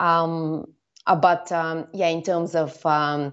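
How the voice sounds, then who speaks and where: A woman with a Bulgarian accent, very deep, low pitch, and a very slow pace. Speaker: storyteller and former filmmaker. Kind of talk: interview. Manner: hesitant, many fillers.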